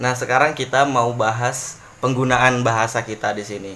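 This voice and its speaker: At a fairly quick pace, a man with a medium pitch and fairly even intonation talks over noticeable background noise. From East Kalimantan, Indonesia (Handil). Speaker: podcast host, university student. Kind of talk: casual chat.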